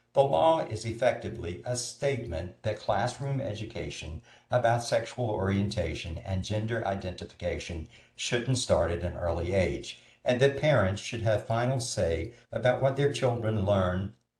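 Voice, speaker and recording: This somewhat breathy voice moves at a moderate pace with ordinary pitch variation. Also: man, medium pitch for a man. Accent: American. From North Carolina. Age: 60s. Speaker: film festival coordinator. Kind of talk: prepared talk.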